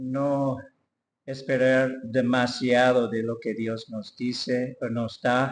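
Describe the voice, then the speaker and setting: With an English accent, a man talks at medium pitch. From US, Detroit. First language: English (speaking Spanish). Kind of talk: testimony. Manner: halting.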